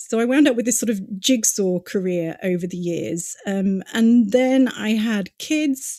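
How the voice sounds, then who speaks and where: With a British accent, a woman speaks at a fairly slow pace in a fairly high pitch. Her tone is dark and mellow, her intonation lively. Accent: British, says listeners can tell. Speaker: digital marketing consultant. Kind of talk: podcast interview. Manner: conversational, many fillers.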